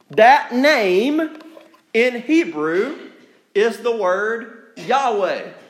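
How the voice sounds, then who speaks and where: A man speaks at a very slow pace with extremely high pitch. His pitch swings very widely, and the room echo is audible. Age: 30s. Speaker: pastor. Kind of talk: sermon.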